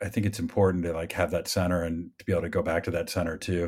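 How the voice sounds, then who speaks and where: Flat, monotone delivery in a Midwestern American accent at a fairly quick pace, very clean recording with a silent background. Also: man. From US Midwest. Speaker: film crew member. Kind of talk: casual chat.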